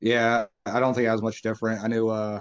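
The pace runs fairly quick. It's a normal speaking voice. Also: man. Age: 30s. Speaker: podcast host. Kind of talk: casual interview chat.

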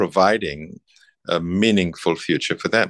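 In a very clean recording with a silent background and a dry, close sound with no echo, a man speaks at a moderate pace with ordinary pitch variation. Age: 70s. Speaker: master tailor and business owner. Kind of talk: coaching session conversation.

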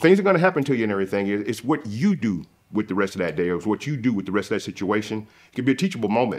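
Against a quiet background, a man with a Southern US accent talks at a very fast pace, his fairly low voice full of lively intonation. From US South. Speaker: salesman. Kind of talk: casual conversation.

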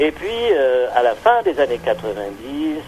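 With lively intonation, a man talks as noticeable background noise continues. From Algeria. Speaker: poet and writer. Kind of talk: interview. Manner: halting, many hesitations.

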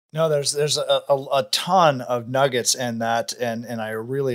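A man with a plain, everyday voice, ordinary pitch variation and a fairly slow pace, in a very clean recording with a silent background. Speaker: podcast host, real estate investor. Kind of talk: interview.

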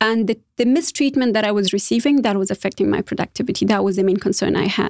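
A woman with a non-native accent speaks at a fairly high pitch and a fairly quick pace. The recording is very clean with a silent background, in a dry, close sound with no echo. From Afghanistan. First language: not English. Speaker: former government official. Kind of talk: interview.

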